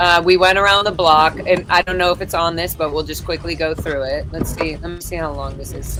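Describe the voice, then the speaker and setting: A woman talks at a fairly quick pace with big swings in loudness. Noticeable background noise sits behind her. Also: fairly low pitch for a woman. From Los Angeles, California. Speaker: activist and livestream host. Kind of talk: casual livestream chat. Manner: animated.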